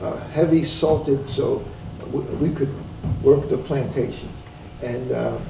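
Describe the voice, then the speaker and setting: A man speaks at a fairly slow pace with long, frequent pauses. The recording has audible room echo and noticeable background noise. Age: 70s. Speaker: professor. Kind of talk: interview.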